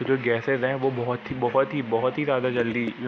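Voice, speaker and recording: Monotone, flat intonation plays out over noticeable background noise. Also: man. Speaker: school science teacher. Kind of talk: lecture. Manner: halting, many fillers and restarts.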